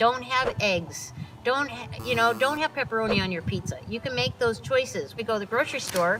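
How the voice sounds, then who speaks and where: This woman has a fairly high pitch and lively intonation, talking at a fairly quick pace. Noticeable background noise runs under her voice. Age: 60s. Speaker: animal sanctuary founder. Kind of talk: interview.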